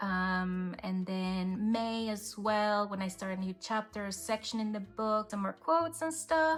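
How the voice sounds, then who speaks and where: Speaking with a Spanish accent, a woman has a medium pitch, ordinary pitch variation, and a moderate pace. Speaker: planner and journaling youtuber. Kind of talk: casual flip-through chat. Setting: hotel room. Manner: relaxed, conversational with fillers.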